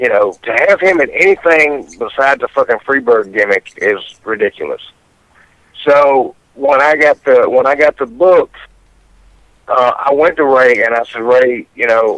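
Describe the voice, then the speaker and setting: Here a man talks with a plain, everyday voice at a moderate pace. His pitch is fairly high. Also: lively intonation. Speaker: professional wrestler, radio guest. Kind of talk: casual radio interview answer. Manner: casual, profane.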